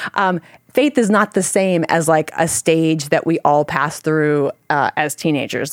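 On a very clean recording with a silent background, a woman speaks at a very deep, low pitch and a moderate pace, with ordinary pitch variation and a dry, close sound with no echo. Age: 40s. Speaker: parent and ministry worker. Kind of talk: casual chat.

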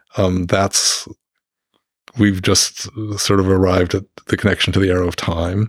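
Monotone, flat delivery at a moderate pace, with long, frequent pauses, very even loudness, and a dry, close sound with no echo. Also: man, very deep, low pitch for a man. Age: 60s. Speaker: physics professor. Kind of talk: interview. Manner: halting.

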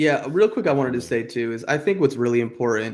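A man with an American accent talks at a fairly quick pace and medium pitch. His is an unremarkable speaking voice, set against a quiet background. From New Jersey, US. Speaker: holistic health practitioner and podcaster. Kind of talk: casual interview chat.

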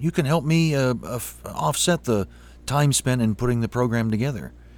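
At a moderate pace, a man uses an ordinary speaking voice at medium pitch with lively intonation. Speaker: podcast host. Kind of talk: interview about film music.

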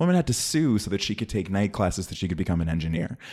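With an American accent, a man speaks in a fairly low voice. His intonation is lively. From Oakland, California. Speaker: entertainment industry worker. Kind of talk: heated debate.

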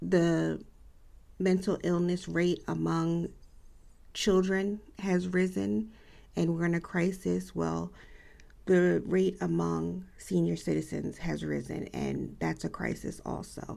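Long, frequent pauses break up this woman's speech. She talks at a very slow pace. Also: very clean recording, silent background. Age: 50s. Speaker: podcast host. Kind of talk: solo podcast monologue.

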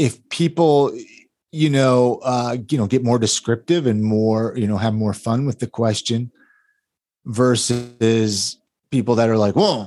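Recorded dry and close with no echo on a very clean recording with a silent background, a man speaks in a normal speaking voice with an American accent, at a medium pitch with ordinary pitch variation. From California (Ventura). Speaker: podcast producer and realtor. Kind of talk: casual interview chat.

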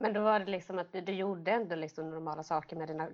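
This woman speaks at a very fast pace with a fairly low pitch and fairly even intonation. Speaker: podcast co-host with cystic fibrosis. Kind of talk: casual interview.

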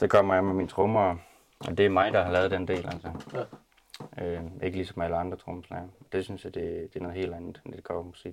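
A man with a very deep, low pitch speaks at a fairly quick pace in a monotone, flat intonation. His loudness swings widely, and he leaves long, frequent pauses. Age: 20s. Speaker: rock band drummer. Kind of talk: casual group interview. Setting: rehearsal room.

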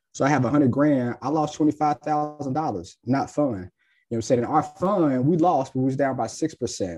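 Marked by an American accent, the voice has a dark, mellow tone and ordinary pitch variation. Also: man. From Ohio, US (Cincinnati). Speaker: financial planner and firm owner. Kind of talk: podcast interview.

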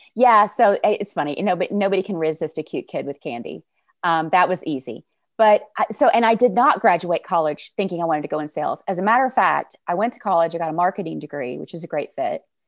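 A woman with a Southern US accent talks at a very fast pace with lively intonation, and the sound is dry and close with no echo. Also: medium pitch for a woman. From Arkansas, US South. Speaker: sales coach. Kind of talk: casual interview chat.

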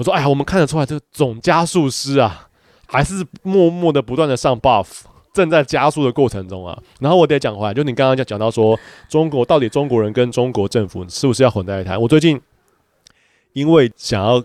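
With a plain, everyday voice, a man of medium pitch talks at a fairly quick pace with lively intonation, the sound dry and close with no echo. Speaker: podcast co-host, father, photographer. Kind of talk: casual chat.

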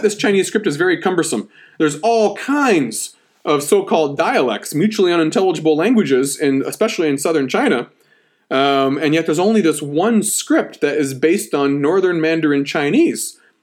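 Heard on a very clean recording with a silent background, a man with an unremarkable speaking voice talks at a fairly quick pace and fairly high pitch with lively intonation. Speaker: history podcast host, academic historian. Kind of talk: lecture. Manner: casual, conversational lecturing with fillers.

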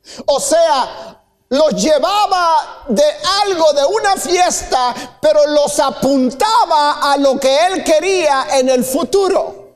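Extremely high-pitched male voice, very slow and lively in intonation, at very even loudness amid audible room echo. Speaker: pastor. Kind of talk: sermon. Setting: church with congregation.

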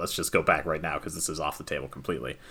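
The speaker is a man with an American accent. His voice has a bright, sharp tone. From US Southwest, New Mexico. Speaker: board game podcast guest. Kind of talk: casual chat.

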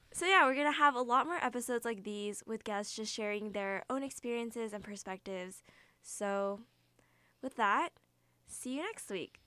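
A woman with a normal speaking voice talks at a moderate pace, fairly high-pitched and with lively intonation. The recording is very clean, with a silent background. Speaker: student radio host. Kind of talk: casual chat. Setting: studio.

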